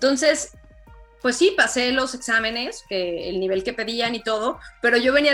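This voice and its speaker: A woman speaks in a high voice with ordinary pitch variation. Noticeable background noise sits behind her. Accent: Mexican. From Mexico. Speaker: journalist. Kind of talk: interview.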